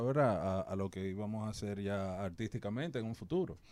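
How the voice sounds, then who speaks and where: A man's dark, mellow voice at a moderate pace, with ordinary pitch variation, on a very clean recording with a silent background. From Dominican Republic, Santo Domingo. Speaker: hip hop artist. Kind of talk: interview.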